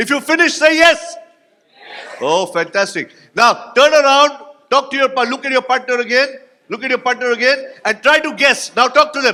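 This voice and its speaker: In a raised, projected voice, a man speaks with an animated tone at an extremely high pitch, his pitch varying an ordinary amount. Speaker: motivational speaker. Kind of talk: keynote speech with audience exercise. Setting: stage with audience at conference. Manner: fast.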